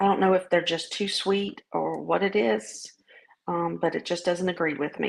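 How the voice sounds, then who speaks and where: In a Southern US accent, a woman speaks at a moderate pace. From US South. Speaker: vlogger sharing weight-loss journey. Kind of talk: casual video diary. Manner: hesitant, many fillers.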